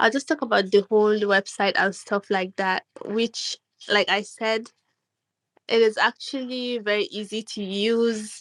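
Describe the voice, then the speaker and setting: Here a woman with a non-native accent speaks at a fairly high pitch and a fairly slow pace. Her intonation is fairly even, and the sound is dry and close with no echo. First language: not English. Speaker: artist. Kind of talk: casual chat. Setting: online audio room. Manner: halting.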